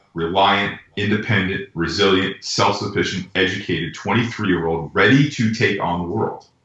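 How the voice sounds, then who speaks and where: A man talks in a normal speaking voice, fairly low in pitch, with ordinary pitch variation. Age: 40s. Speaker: pitching coach. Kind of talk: casual interview.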